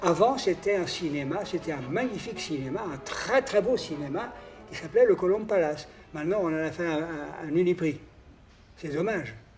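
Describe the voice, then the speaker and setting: Music plays behind a man speaking at a moderate pace. His voice is high in pitch, with lively intonation. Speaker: accordionist. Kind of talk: reminiscing interview. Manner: halting, with many hesitations.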